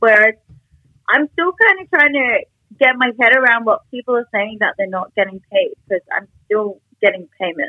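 A woman with an Australian accent, high-pitched, energetic and bubbly, at a moderate pace with very wide pitch swings. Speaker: adult content creator. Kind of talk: casual interview chat. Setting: video call. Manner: energetic, bubbly.

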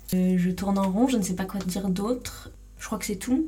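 With audible room echo, a woman speaks at a medium pitch in a dark, mellow tone that is somewhat breathy. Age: 20s. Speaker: podcast host. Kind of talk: solo monologue. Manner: hesitant.

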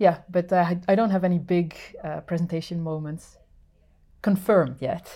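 A woman with a Dutch accent, fairly low in pitch, dark and mellow in tone, at a moderate pace with fairly even intonation, on a very clean recording with a silent background. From Netherlands. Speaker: sound artist and instrument builder. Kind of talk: casual interview. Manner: halting, many fillers.

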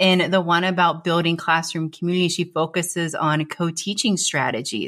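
With an animated, enthusiastic tone, a woman with a fairly low pitch and a bright, sharp tone speaks at a moderate pace. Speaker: podcaster and former special ed teacher, educator. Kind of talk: interview, casual chat. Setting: video call.

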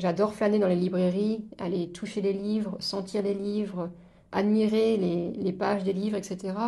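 A dark, mellow tone with monotone, flat intonation at a fairly slow pace, amid audible room echo. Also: woman, medium pitch for a woman. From eastern France, Moselle. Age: 30s. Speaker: podcast guest sharing life story. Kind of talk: casual interview chat. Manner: hesitant, many fillers and repetitions.

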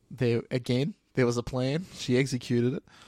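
With an Australian accent, a man speaks in a dark, mellow tone on a very clean recording with a silent background. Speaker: podcast co-host. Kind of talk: casual chat. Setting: recording at night.

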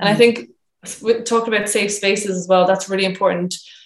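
A woman speaks at a moderate pace with a Cork accent. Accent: Cork Irish. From Ireland, Cork. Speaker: photographer and women's circle facilitator. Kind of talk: casual interview.

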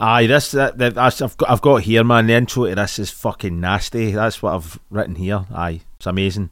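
A man with a Scottish accent speaks at a fairly quick pace in a fairly low pitch with ordinary pitch variation. The recording is very clean, with a silent background. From Scotland. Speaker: podcast co-host. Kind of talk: casual chat.

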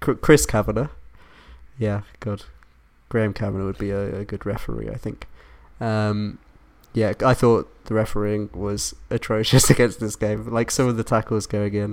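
A man with an English accent speaks at a fairly low pitch with fairly even intonation, leaving long, frequent pauses, on a very clean recording with a silent background. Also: moderate pace. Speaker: football podcast host. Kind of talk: casual chat.

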